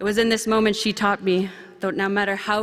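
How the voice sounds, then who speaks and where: A medium-pitched woman's voice over noticeable background noise. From central Canada, Anishinaabe First Nation community. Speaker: young professionals committee representative speaking at conference. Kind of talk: ceremonial speech. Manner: formal.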